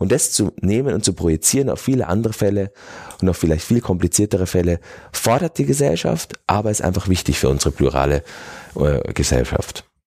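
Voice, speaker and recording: A man with a very deep, low pitch and a dark, mellow tone talks at a fairly quick pace, his pitch swinging very widely. His loudness stays very even, long pauses come often, and the sound is dry and close with no echo. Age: 40s. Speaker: mayor and politician. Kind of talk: interview. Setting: studio.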